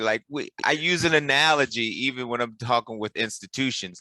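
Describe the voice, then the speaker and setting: A man with a normal speaking voice talks at a medium pitch and moderate pace, in a dry, close sound with no echo. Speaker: podcast host. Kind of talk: podcast interview host. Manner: casual, conversational.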